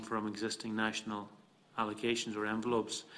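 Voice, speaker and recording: A man with an Irish accent talks at a fairly quick pace in a medium pitch. His intonation is flat and monotone, with light background noise. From Ireland. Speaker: politician. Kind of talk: committee questioning. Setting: parliamentary committee room. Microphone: podium.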